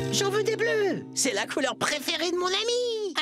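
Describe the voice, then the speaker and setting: Someone uses a put-on character voice over clear music in the background. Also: moderate pace. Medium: fan dub. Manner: friendly, insistent.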